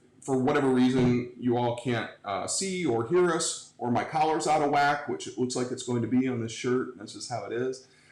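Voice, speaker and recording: Through noticeable background noise, a man speaks with an American accent at a moderate pace. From Cleveland, Ohio. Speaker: livestream talk show host. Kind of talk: casual interview. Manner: loud; halting.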